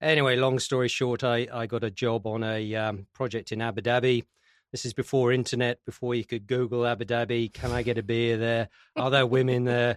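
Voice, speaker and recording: Speaking with an English accent at a fairly quick pace, a man keeps a medium pitch and monotone, flat intonation in a dry, close sound with no echo. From UK. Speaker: construction industry association executive. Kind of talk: interview. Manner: halting, many fillers.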